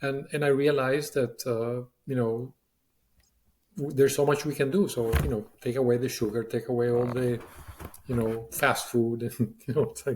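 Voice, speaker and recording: This man's voice is somewhat breathy, with fairly even intonation. He moves at a moderate pace. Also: medium pitch for a man. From Latin America. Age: 60s. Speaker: business leader. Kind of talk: interview. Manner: halting, many fillers.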